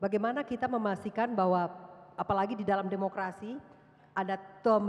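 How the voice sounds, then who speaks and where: Her pace is fairly quick. The woman's intonation stays fairly even. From Indonesia. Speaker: moderator, professor. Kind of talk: panel moderation. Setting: auditorium with audience. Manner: hesitant fillers. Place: hall. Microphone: handheld.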